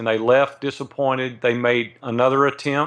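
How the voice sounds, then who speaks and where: A man in a Southern US accent speaks at a moderate pace with monotone, flat intonation, the background quiet. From US South, Nashville, Tennessee. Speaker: entrepreneur. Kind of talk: interview.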